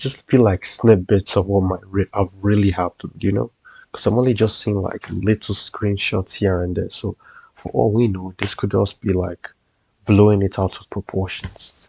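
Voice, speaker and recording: A quiet man with a fairly low, somewhat breathy voice speaks at a moderate pace in a dark, mellow tone with fairly even intonation. His loudness swings widely, and the sound is dry and close with no echo. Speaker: co-commentator reacting to video. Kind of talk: casual reaction chat. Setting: at home late at night. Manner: quiet, keeping voice low.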